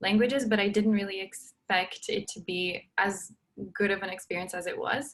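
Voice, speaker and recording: A medium-pitched woman with a Portuguese accent, at a moderate pace. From Brazil. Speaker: university student. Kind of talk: panel talk on video call. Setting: video call.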